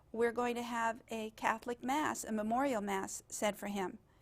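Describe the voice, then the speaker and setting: A woman with a Spanish accent and fairly high pitch at a moderate pace, in a very clean recording with a silent background. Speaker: genealogist and heritage project organizer. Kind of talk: interview. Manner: halting.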